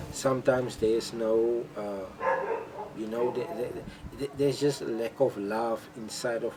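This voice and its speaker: At a fairly slow pace, a man with a non-native accent speaks in a medium pitch with ordinary pitch variation amid noticeable background noise. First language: not English. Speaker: vlogger. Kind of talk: casual monologue. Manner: halting, many repetitions.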